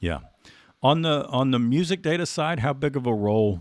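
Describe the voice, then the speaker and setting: A man with a slight Southern US accent speaks at a moderate pace, his pitch swinging very widely. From Texas. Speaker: podcast host. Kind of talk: podcast interview.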